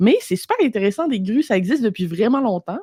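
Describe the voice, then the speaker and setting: A woman's medium-pitched, somewhat breathy voice carries lively intonation. The sound is dry and close, with no echo. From Quebec, Lac-Saint-Jean. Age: 30s. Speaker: entrepreneur, copywriter. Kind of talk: podcast interview. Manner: casual, animated.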